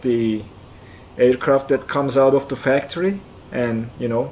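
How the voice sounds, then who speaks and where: With a Turkish accent, a man talks at a medium pitch using fairly even intonation. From central Turkey (Kayseri). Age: 40s. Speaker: flight sim streamer. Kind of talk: live stream chat. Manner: halting, repeats words.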